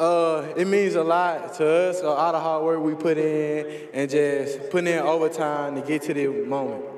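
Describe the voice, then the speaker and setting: Over light background noise and audible room echo, a man speaks in a fairly high pitch with monotone, flat intonation and hardly any pauses. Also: moderate pace. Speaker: college football player. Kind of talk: post-game interview; interview answer. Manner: breathless, halting. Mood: happy, humble after win. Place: stadium. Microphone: handheld.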